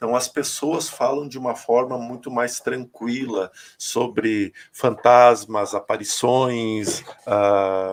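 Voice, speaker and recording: Intonation fairly even, a man talks at a very slow pace. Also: medium pitch for a man. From Rio Grande do Sul, Brazil (north, small town). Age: 40s. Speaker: spiritual medium. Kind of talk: interview testimony.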